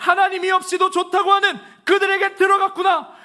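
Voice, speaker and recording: A man projects a raised voice at a moderate pace. His pitch is extremely high, and his tone is bright and sharp. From Chungcheong (Chungnam), Korea. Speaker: pastor. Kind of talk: sermon.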